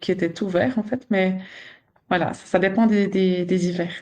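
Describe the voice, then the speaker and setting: Against a quiet background, someone speaks at a moderate pace with a Swiss accent. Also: woman. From Switzerland. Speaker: nurse and sleep consultant, podcast co-host. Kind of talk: casual podcast chat.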